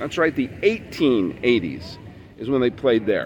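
The speech moves at a very slow pace with lively intonation over noticeable background noise. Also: man. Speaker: baseball podcast host. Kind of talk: solo podcast monologue. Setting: outdoors at a ballpark. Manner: loud, shouting.

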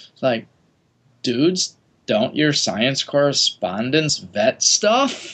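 A man speaks at a very slow pace in a fairly high voice. His pitch swings very widely. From US Midwest (Wisconsin). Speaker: geneticist. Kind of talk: casual chat.

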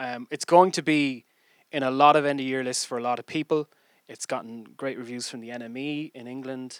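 Speaking fairly quickly with a Dublin accent and big swings in loudness, the voice comes through dry and close with no echo on a very clean recording with a silent background. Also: man, medium pitch for a man. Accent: Irish (Dublin). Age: 30s. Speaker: podcast host. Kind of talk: casual chat.

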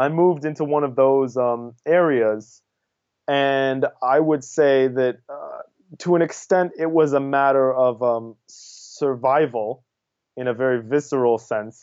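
Speaking at a fairly slow pace, a man has a normal speaking voice with an American accent. His pitch is medium and his intonation fairly even. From New York City, US. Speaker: activist and student. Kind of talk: casual interview.

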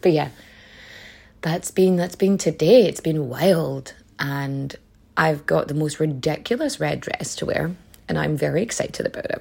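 With a Donegal accent, a woman speaks at a moderate pace, leaving long, frequent pauses. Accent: Donegal Irish. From Ireland, County Donegal. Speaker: history podcast host. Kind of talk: conversational storytelling. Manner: casual, profane.

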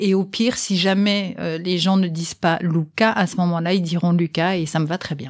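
Speaking at a moderate pace, a woman has an unremarkable speaking voice, fairly low in pitch, with fairly even intonation. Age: 50s. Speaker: sign language interpreter, mother of the guest. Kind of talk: interview testimony.

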